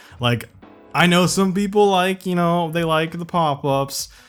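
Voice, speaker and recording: A man's voice over music in the background. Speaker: car commentary YouTuber. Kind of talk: casual commentary over screen listings.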